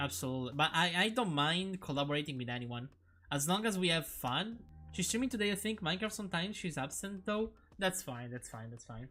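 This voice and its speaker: A man's high voice with a non-native accent, fairly quick pace and very wide pitch swings, music in the background. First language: not English. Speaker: streamer. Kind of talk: casual live-stream chat. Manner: halting, many repetitions and restarts.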